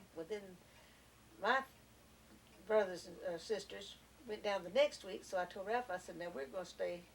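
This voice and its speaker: There's a Southern US accent in this woman's speech. Her pitch shifts in a typical way. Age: 70s. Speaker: grandmother interviewed by family. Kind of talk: family oral history interview. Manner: casual, hesitant with fillers.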